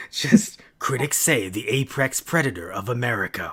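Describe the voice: A put-on character voice in a dramatic tone, low-to-middle in pitch, at a moderate pace.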